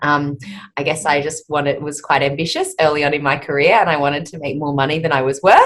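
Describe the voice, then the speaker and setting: A woman with an Australian accent and a very deep, low pitch. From Australia, outback Queensland. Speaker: speech therapist and company founder. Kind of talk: podcast interview. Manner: hesitant, many fillers.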